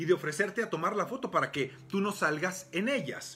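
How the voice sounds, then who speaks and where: Very fast and animated, a man speaks with lively intonation. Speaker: sexologist and physician, podcast host. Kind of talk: motivational talk on a live stream.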